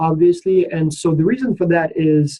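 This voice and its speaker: A man is talking here. His voice sits high for a man. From Ukraine. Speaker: professor. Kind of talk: online orientation session. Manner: casual, uses many fillers.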